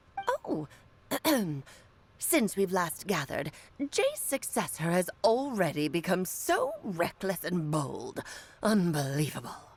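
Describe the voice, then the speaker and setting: Putting on a character voice, a woman speaks at a fairly slow pace and medium pitch, with long, frequent pauses. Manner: haughty, scolding.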